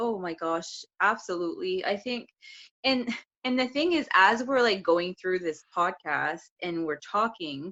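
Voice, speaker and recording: A woman speaks fairly slowly with a strong French accent. Her medium-pitched voice has lively intonation. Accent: thick French. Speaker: podcast co-host. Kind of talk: casual chat.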